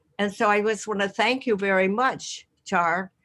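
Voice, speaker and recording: With music in the background, a woman speaks at a moderate pace in a fairly even intonation. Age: 80s+. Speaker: audience member. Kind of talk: spoken thanks.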